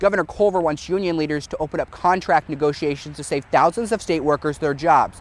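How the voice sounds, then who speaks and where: There is noticeable background noise as a man with a fairly high pitch talks at a fairly quick pace with ordinary pitch variation. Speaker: TV news reporter. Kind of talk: TV news report and standups.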